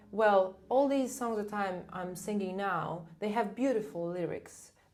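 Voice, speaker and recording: On a very clean recording with a silent background, a woman with a non-native accent speaks at a fairly slow pace. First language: not English. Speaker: soprano singer. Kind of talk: casual interview chat.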